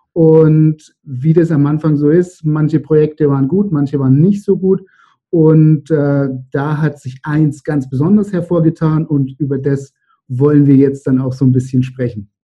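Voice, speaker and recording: Somewhat breathy, a man speaks at a fairly high pitch and a fairly slow pace with fairly even intonation. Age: 30s. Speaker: entrepreneur. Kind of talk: interview.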